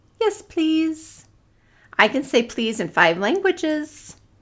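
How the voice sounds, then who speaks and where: Putting on a squeaky character voice, a woman speaks at a high pitch and a fairly slow pace. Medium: read story. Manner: earnest.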